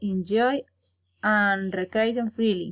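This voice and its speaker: A woman's fairly high voice in a Colombian accent, very slow, with ordinary pitch variation, dry and close with no echo, on a very clean recording with a silent background. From Colombia, Santander. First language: Spanish. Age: 20s. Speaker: university student. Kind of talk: prepared self-introduction for English class. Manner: halting.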